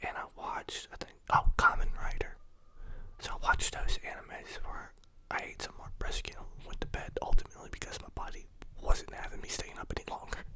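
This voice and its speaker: A man whispering at a fairly quick pace, with big swings in loudness and noticeable background noise. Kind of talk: ASMR casual talk about the day. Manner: soft-spoken.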